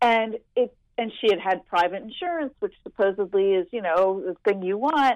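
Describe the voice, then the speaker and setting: Talking at a fairly slow pace, a woman lets her pitch swing very widely. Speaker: nurse and health journalist. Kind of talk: casual radio interview.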